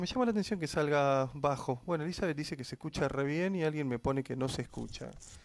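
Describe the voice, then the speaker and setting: A man speaks at a very fast pace with an Argentine accent. The recording is very clean, with a silent background. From Argentina. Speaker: Bible teacher. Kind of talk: livestream Bible study. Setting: live stream at home.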